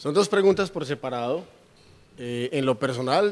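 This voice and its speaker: A plain, everyday voice with ordinary pitch variation, at a moderate pace. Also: man. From Colombia, Urabá (Carepa, Antioquia). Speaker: regional politician. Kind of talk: interview. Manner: articulate, formal.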